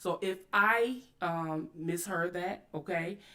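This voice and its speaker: A woman's medium-pitched voice. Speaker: YouTube commentary host. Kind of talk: livestream commentary. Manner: loud; aggressive tone.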